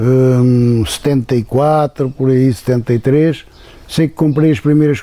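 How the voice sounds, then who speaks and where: A dark, mellow tone colors the voice. Its pitch shifts in a typical way. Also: man. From central Portugal, rural. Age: 70s. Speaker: beekeeper. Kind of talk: interview testimony. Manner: halting, with fillers and repetitions.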